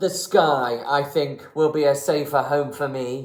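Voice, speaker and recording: A man puts on a rumbling character voice with a fairly high pitch. He speaks at a fairly slow pace. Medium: read story. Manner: grumbling, suspicious.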